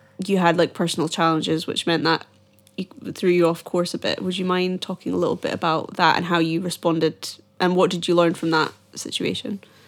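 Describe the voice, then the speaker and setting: In a Scottish accent, a woman with a fairly low pitch speaks at a fairly quick pace with monotone, flat intonation. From Scotland, Edinburgh. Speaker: podcast host. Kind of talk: casual interview.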